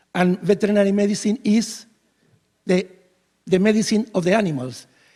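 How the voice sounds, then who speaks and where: Speaking with a Spanish accent, a man uses a high pitch and a dark, mellow tone at a moderate pace. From Spain. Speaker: veterinarian, keynote speaker. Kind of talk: conference keynote speech. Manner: halting, many fillers and restarts.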